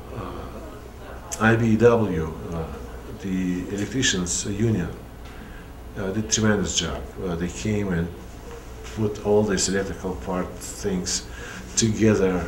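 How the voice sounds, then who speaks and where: A man with a Russian accent and a very deep, low pitch speaks at a fairly slow pace with ordinary pitch variation and long, frequent pauses, amid audible room echo and noticeable background noise. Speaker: puppeteer. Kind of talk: interview. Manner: halting.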